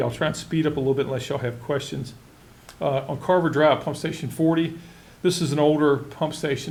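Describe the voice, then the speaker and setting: Through audible room echo, a man talks at a very fast pace with fairly even intonation. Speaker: county utilities official. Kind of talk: public meeting presentation. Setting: board meeting.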